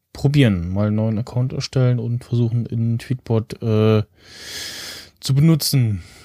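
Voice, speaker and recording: A man with a dark, mellow tone speaks at a very slow pace with fairly even intonation, recorded dry and close with no echo. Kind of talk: casual chat. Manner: easygoing, hesitant, filler-heavy.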